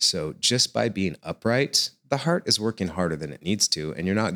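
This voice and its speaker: A man with an American accent speaks at a moderate pace with a very deep, low pitch and vocal fry. His pitch swings very widely, and the sound is dry and close with no echo. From United States. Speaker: acrobat and yoga teacher. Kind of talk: interview.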